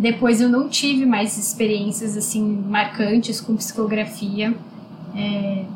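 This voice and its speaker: Against noticeable background noise, a woman speaks very slowly at a fairly high pitch with monotone, flat intonation. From Brazil, São Paulo. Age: 20s. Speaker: spiritist medium and social worker. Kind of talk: interview.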